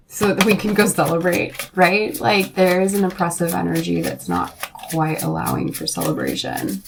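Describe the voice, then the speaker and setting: Moderate-paced speech from a woman amid noticeable background noise. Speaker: tarot reader. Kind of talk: tarot reading. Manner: expressive, with side sound effects; casual, filler-heavy.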